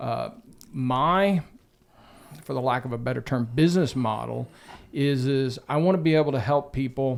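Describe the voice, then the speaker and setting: Medium-pitched male speech with a Texan accent at a moderate pace, on a very clean recording with a silent background. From West Central Texas. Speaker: real estate agent. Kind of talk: podcast interview.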